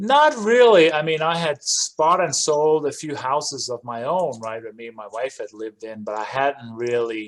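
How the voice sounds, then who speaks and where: Moderately paced speech from a man over a quiet background. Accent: Danish. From Denmark. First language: Danish. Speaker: real estate investor. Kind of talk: interview.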